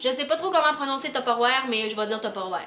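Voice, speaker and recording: Over noticeable background noise, a woman uses a raised, projected voice with a high pitch and lively intonation. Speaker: beauty vlogger. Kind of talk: product review vlog. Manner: casual, chatty with many fillers.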